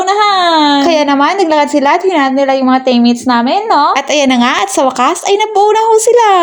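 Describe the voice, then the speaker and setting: Fairly quick female speech with noticeable background noise. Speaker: vlogger and vocational trainee. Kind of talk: vlog voiceover narration. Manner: chatty, casual, frequent tag questions.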